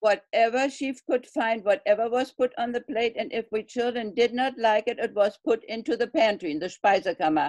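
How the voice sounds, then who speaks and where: Barely pausing, a woman speaks with a German accent. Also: fairly high pitch for a woman, ordinary pitch variation, moderate pace, dry, close sound with no echo. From Germany (Berlin). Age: 80s+. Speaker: Berlin airlift witness. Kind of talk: oral history interview.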